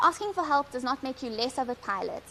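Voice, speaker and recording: Over noticeable background noise, a woman speaks at a fairly quick pace with a high pitch. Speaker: helicopter pilot. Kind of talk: prepared speech.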